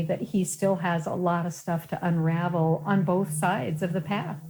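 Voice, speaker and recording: A woman with an American accent talks at a moderate pace with hardly any pauses, her fairly low, dark, mellow voice somewhat breathy and her intonation fairly even. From Colorado. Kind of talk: interview.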